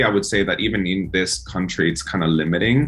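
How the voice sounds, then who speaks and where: Against music in the background, a man with a Spanish accent speaks at a moderate pace with lively intonation. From El Salvador. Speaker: singer-songwriter. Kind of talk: interview.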